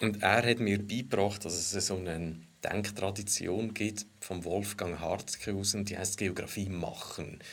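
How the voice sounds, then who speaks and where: Using fairly even intonation and hardly any pauses, a man with a fairly low pitch speaks with a slight Lucerne accent. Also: moderate pace. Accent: Lucerne Swiss German dialect, slight. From Switzerland, Lucerne. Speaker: economic geographer. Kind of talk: casual discussion.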